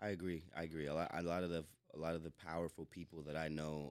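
A man with an American accent speaks at a very fast pace. His very deep, low voice stays monotone and flat. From North Carolina, US. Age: 30s. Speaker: film director and festival founder. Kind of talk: casual podcast interview. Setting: studio.

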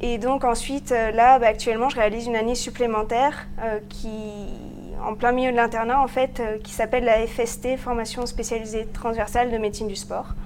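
This woman's voice sits at a fairly high pitch. She speaks with monotone, flat intonation. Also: moderate pace. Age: 20s. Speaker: medical resident. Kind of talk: interview.

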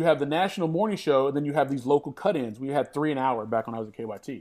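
Lively intonation marks this man's speech in a very clean recording with a silent background. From western Kentucky, Hopkins County. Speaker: sports TV anchor. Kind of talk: casual interview.

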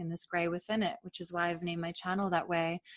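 A woman speaks in a fairly low pitch with a monotone, flat intonation. The sound is dry and close, with no echo. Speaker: podcast host and author. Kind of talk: casual interview conversation.

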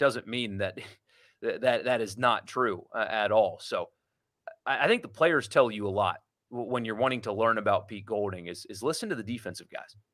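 The recording is very clean with a silent background. A man with an ordinary speaking voice and medium pitch talks at a fairly quick pace with ordinary pitch variation. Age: 30s. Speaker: sports radio host. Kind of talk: casual chat.

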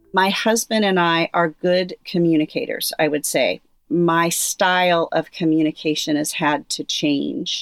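A woman talks at a fairly slow pace in a fairly low pitch with ordinary pitch variation. The sound is dry and close with no echo, in a very clean recording with a silent background. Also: hardly any pauses. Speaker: person with Parkinson's. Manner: speech fairly clear and strong.

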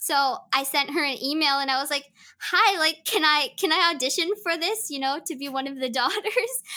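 The voice is raised and projected, with a bright, sharp tone and ordinary pitch variation. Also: woman, high pitch for a woman, moderate pace. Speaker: voice actor and stage actor, podcast guest.

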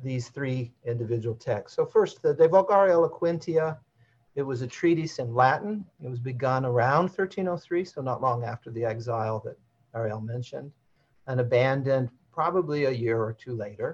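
In front of a quiet background, a man speaks at a moderate pace and a medium pitch. His voice is somewhat breathy, with lively intonation. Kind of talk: academic lecture with slides. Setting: video call.

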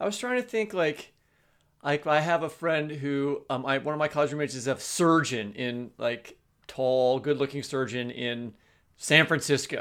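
This very clean recording with a silent background captures a man with a fairly high pitch and an unremarkable speaking voice, talking at a moderate pace with ordinary pitch variation. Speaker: podcast co-host and novelist. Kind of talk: casual chat.

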